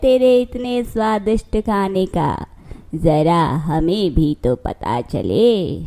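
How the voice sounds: A woman uses a cartoonish character voice at a very slow pace.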